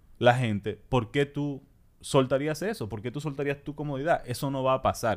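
Fairly high in pitch, a man talks in a normal speaking voice at a fairly quick pace with ordinary pitch variation. The recording is very clean, with a silent background. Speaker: political podcast co-host. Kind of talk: casual political discussion.

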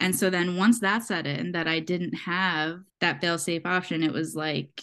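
A woman with an unremarkable speaking voice talks at a fairly low pitch and moderate pace over a quiet background. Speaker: host's best friend. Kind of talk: casual chat.

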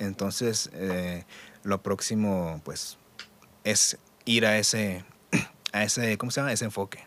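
Using long, frequent pauses, a man with a fairly low pitch talks at a fairly slow pace with fairly even intonation. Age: 30s. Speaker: audiovisual producer. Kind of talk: casual chat. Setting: studio.

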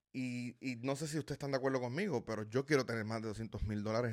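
Speaking very fast, a man uses a medium pitch with ordinary pitch variation. The recording is very clean, with a silent background. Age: 30s. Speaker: personal finance YouTuber. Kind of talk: casual video talk to viewers. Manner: animated, filler-heavy with repetitions.

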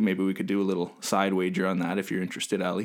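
A man talks at a very fast pace with a Canadian accent. His pitch is fairly low. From Canada. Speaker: podcast co-host. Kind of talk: casual chat. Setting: remote, across the Atlantic.

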